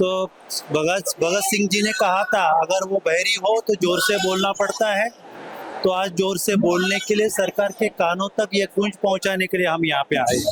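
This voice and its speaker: With noticeable background noise behind him, a man speaks in a high voice with fairly even intonation and very even loudness. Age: 60s. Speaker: schoolteacher and protester. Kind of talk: street interview. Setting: outdoors at a protest. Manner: impassioned.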